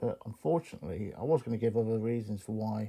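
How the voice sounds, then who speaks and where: On a very clean recording with a silent background, a man with an English accent speaks fairly quickly in a dark, mellow tone. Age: 50s. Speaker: knife collector YouTuber. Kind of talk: casual monologue to camera. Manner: halting.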